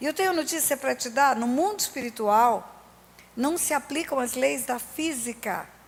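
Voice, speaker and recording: A high-pitched woman at a moderate pace, with ordinary pitch variation. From Brazil, Resende (Rio de Janeiro state). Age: 60s. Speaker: pastor. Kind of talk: sermon. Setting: church.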